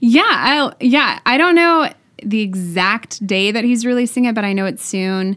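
A woman talks at a fairly slow pace with a fairly high pitch. Her intonation is lively. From Texas (Waco). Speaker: songwriter. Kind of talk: casual interview.

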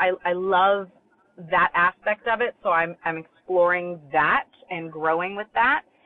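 A fairly slow, ordinary speaking voice from a woman, medium in pitch with fairly even intonation. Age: 40s. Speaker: children's bookstore owner and author. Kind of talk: interview.

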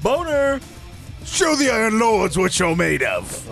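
Over clear background music, a female-sounding put-on character voice speaks at a fairly slow pace with a fairly high pitch. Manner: pirate voice, mock-commanding.

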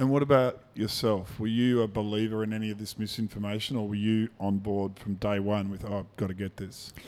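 A man's fairly low voice in an Australian accent, fairly quick, flat and monotone, with hardly any pauses. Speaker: podcast host. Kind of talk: interview.

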